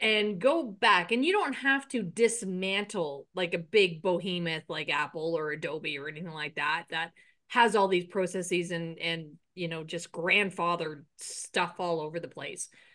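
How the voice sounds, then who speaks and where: Bright, sharp tone at a moderate pace, with ordinary pitch variation and a quiet background. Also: woman, fairly low pitch for a woman. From Ireland. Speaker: podcast host, business coach. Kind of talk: casual interview chat.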